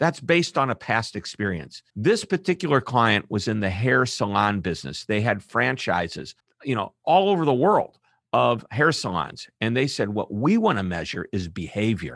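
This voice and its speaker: A man with a General American accent at medium pitch, animated and upbeat, with very wide pitch swings at a moderate pace, in a dry, close sound with no echo over a quiet background. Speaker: author and keynote speaker. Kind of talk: casual interview conversation. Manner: animated, upbeat.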